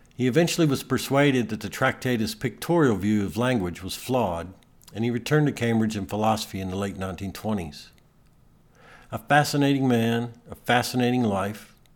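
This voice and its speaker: A man's plain, everyday voice at medium pitch, with ordinary pitch variation and a fairly quick pace. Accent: American. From Texas (Amarillo). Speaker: podcast host, author. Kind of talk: scripted narration of a personal essay.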